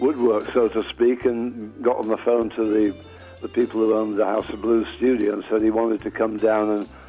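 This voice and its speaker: A man speaks at medium pitch in a monotone, flat intonation. Music plays in the background. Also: moderate pace. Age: 80s+. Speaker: blues musician. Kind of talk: interview answer.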